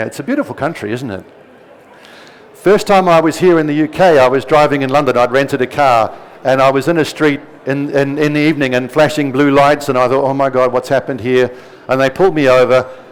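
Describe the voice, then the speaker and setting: At a very fast pace, a man with a fairly high voice keeps his intonation fairly even amid noticeable background noise. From New Zealand. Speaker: presenter giving a talk. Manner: informal, anecdotal.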